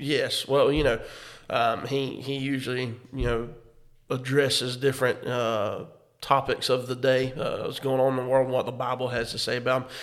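A man's medium-pitched voice stays monotone and flat, moving at a moderate speed. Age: 30s. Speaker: pastor and podcast co-host. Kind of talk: casual chat.

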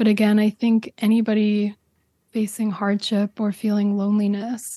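A woman with a fairly high pitch and a dark, mellow, somewhat breathy tone speaks at a moderate pace in a monotone, flat intonation, her loudness very even, the sound dry and close with no echo over a quiet background. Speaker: podcast creator and presenter. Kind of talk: interview about her own podcast.

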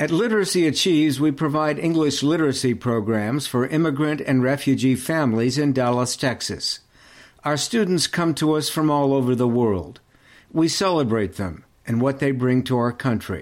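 A man with an ordinary speaking voice talks at a moderate pace and a fairly high pitch, with ordinary pitch variation and very even loudness. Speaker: podcast host/narrator. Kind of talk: scripted narration.

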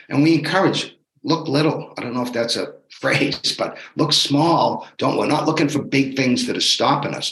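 He has an unremarkable speaking voice, pitched fairly high for a man. His pace is moderate and his pitch varies in an ordinary way. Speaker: fitness bootcamp coach. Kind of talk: pep talk. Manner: motivational, upbeat, urging.

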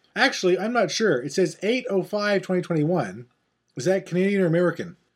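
The man's voice sits at a high pitch. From Newfoundland. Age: middle-aged. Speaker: podcast host. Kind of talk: casual chat. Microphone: laptop.

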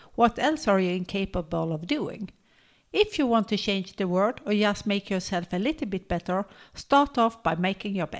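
A woman with an unremarkable speaking voice, lively intonation and a moderate pace, on a very clean recording with a silent background. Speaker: podcast co-host and health workshop leader. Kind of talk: casual chat.

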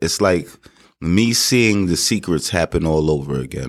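In a New York accent, a man with a very deep, low pitch speaks with lively intonation. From Queens, New York. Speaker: barber and real estate investor. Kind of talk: interview. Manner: halting.

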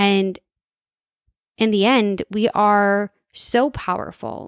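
On a very clean recording with a silent background and a dry, close sound with no echo, a woman speaks at a medium pitch with fairly even intonation. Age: 30s. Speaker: podcast host and entrepreneur. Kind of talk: casual monologue.

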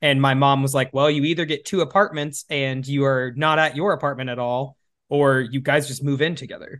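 An unremarkable speaking voice from a man with an American accent, fairly high pitch, fairly even intonation and a fairly quick pace, quiet background. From US Midwest. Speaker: podcast host. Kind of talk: casual chat.

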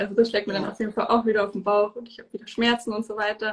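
Very fast and somewhat breathy, a woman's fairly high voice runs in a monotone, flat intonation. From southern Germany, Bavaria (near Munich). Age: 20s. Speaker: endometriosis patient and holistic health coach. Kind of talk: interview. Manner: hesitant, many fillers.

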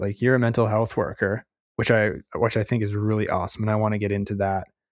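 A man with a Canadian accent has an unremarkable speaking voice at a medium pitch and fairly even intonation. The recording is very clean, with a silent background. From Canada. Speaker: podcast host. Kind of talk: interview, casual chat.

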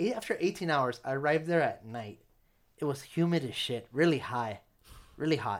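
This man has a normal speaking voice, pitched fairly high, with lively intonation. The recording is very clean, with a silent background. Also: moderate pace. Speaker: podcast host. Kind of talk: casual chat.

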